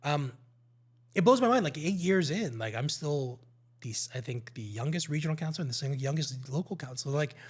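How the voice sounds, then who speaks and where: A somewhat breathy man with a fairly high pitch and lively intonation at a fairly quick pace, in a very clean recording with a silent background. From Ontario, Canada (Markham). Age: 40s. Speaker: local politician. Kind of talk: podcast interview.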